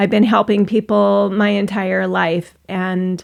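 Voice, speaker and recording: An American accent marks this woman's speech. She talks fairly slowly. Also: very clean recording, silent background. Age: 60s. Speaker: online business vlogger, former coach. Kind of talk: personal vlog monologue.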